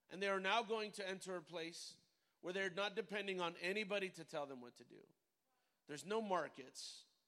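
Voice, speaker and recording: A man with a high pitch and a bright, sharp tone uses a raised, projected voice with big swings in loudness. His delivery is animated and fairly quick, with ordinary pitch variation. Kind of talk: sermon. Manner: animated, call-and-response, exhorting the congregation.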